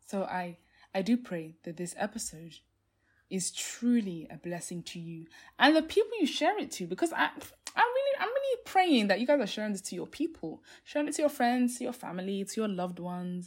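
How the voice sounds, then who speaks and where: A woman, fairly high-pitched and somewhat breathy, fairly quick, with very wide pitch swings and big swings in loudness, on a very clean recording with a silent background. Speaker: faith podcast host. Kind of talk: solo podcast talk, devotional teaching. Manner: fast when passionate; many fillers like um and like.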